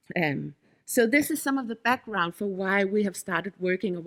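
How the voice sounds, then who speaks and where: A woman with a Danish accent speaks at medium pitch and a moderate pace, the sound dry and close with no echo. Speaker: head of an innovation district secretariat. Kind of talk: conference presentation. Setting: workshop audience. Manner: halting, with frequent fillers and self-corrections.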